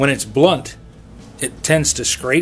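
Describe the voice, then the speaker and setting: A man at a moderate pace with music in the background. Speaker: woodworker demonstrating tool sharpening. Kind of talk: tutorial. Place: workshop.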